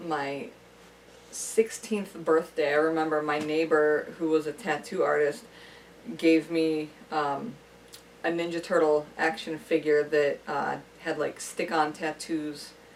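A woman speaks with a very deep, low pitch and long, frequent pauses. Noticeable background noise is present. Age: 30s. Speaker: friend and amateur film actor. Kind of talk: casual chat.

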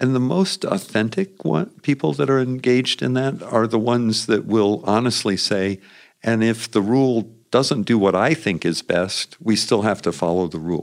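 A man with an American accent, medium pitch, lively intonation and moderate pace on a very clean recording with a silent background. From US Midwest, Indiana. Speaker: former congressman, political organizer. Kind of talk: long-form interview. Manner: hesitant, with fillers and repetitions.

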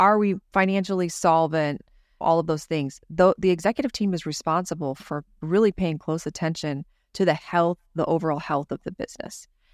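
A woman with an American accent and an unremarkable speaking voice talks at a moderate pace, fairly low in pitch with ordinary pitch variation. The recording is very clean with a silent background and a dry, close sound with no echo. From California. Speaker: business owner. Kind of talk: casual chat.

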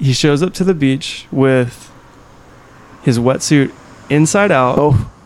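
Over noticeable background noise, a man speaks very slowly at very even loudness with long, frequent pauses. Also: fairly high pitch for a man, ordinary pitch variation. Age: young. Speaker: surfer. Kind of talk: casual interview chat. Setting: home carport.

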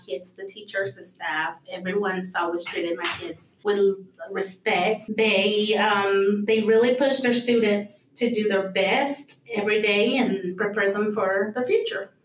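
With a Spanish accent and fairly even intonation, a woman speaks over noticeable background noise. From Mexico, Durango. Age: 30s. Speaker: school receptionist. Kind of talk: interview.

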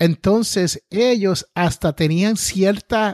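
A man's lively intonation in a dry, close sound with no echo, over a quiet background. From Puerto Rico. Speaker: entrepreneur and podcaster. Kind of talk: interview. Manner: slow; carefully enunciated.

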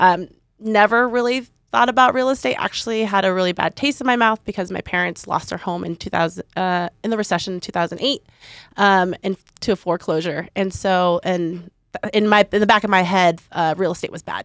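In a normal speaking voice with an American accent, a woman talks at a fairly quick pace and medium pitch with ordinary pitch variation, the recording very clean with a silent background and a dry, close sound with no echo. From Boise, Idaho. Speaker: real estate investor and networking group leader. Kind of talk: casual interview chat.

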